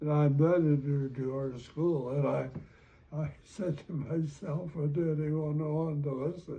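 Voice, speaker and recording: Speaking with an Upper Midwest accent, a man with a fairly high pitch keeps his intonation fairly even. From North Dakota. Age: 90s. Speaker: retired educator. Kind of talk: interview. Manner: halting.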